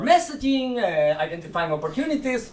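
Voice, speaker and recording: With audible room echo and noticeable background noise, a man speaks at a fairly quick pace with very wide pitch swings. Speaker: conference speaker on animal ethics. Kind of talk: conference talk. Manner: fast.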